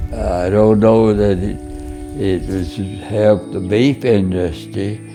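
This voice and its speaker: A man's fairly low voice with an American accent, very slow pace and ordinary pitch variation, over music in the background. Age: 80s+. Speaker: cowboy and rancher. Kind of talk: interview answer, reminiscing.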